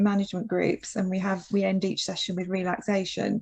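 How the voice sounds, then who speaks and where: Here a woman talks at a moderate pace. Her voice sounds somewhat breathy. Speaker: occupational therapist leading a seminar. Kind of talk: Q&A in online seminar. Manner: speeds up when excited.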